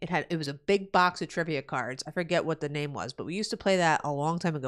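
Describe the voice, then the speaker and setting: In a New Jersey accent, a woman with a very deep, low pitch and vocal fry speaks in an animated tone at a fairly quick pace on a very clean recording with a silent background. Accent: New Jersey American. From New Jersey, USA. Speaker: gaming streamer. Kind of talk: casual live-stream chat. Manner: loud.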